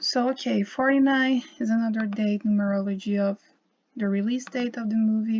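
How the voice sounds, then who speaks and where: A woman speaks in a Portuguese accent at a fairly slow pace, her voice somewhat breathy with a dark, mellow tone. Her pitch sits fairly high. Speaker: YouTuber on symbolism and gematria. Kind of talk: casual video monologue. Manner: halting, with many fillers and repetitions.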